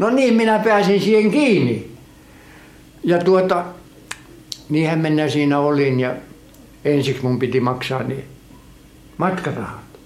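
In a room with audible echo, a man with a fairly high pitch talks at a very slow pace with lively intonation and long, frequent pauses. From Finland, Kotka. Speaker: emigrant interviewee. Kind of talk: life story interview. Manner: halting.

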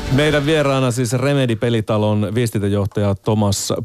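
A man with an ordinary speaking voice at medium pitch, fairly slow pace, dry, close sound with no echo, very clean recording and a silent background. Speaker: radio host. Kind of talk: radio interview. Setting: studio.

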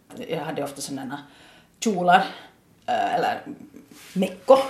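Room echo is audible and background noise is noticeable. A woman talks at a moderate pace. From Ostrobothnia, Finland (Nykarleby). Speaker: adult education principal and German teacher. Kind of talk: interview. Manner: repeats words often, thinking aloud.

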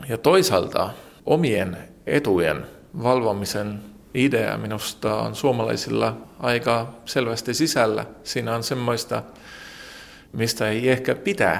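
A man with an Estonian accent speaks at a fairly slow pace. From Estonia, Tallinn. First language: Estonian (speaking Finnish). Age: 40s. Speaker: journalist. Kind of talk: interview. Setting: newspaper office. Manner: halting.

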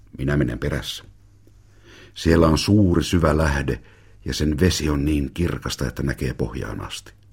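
Vocal fry runs through a man's very deep, low voice, which has a warm tone, ordinary pitch variation and a moderate pace. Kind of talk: audiobook reading of a memoir, narrated in a child's first-person voice.

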